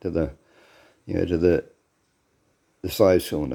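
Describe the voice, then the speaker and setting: Speaking with an Australian accent, a man has a very deep, low pitch, a dark, mellow tone and fairly even intonation. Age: 60s. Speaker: home car mechanic vlogger. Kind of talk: casual workshop tutorial. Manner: casual, repetitive with fillers.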